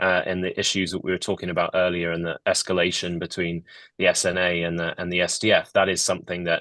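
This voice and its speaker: A man with a British accent speaks at a very fast pace. The sound is dry and close with no echo. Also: quiet background. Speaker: think tank analyst. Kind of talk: panel discussion.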